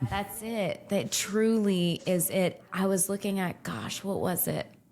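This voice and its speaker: Noticeable background noise sits behind a woman with a medium pitch. She speaks in an animated tone at a fairly slow pace. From Louisiana, Lafayette (Cajun). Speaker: nurse practitioner, IV therapy clinic owner. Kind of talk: casual interview chat.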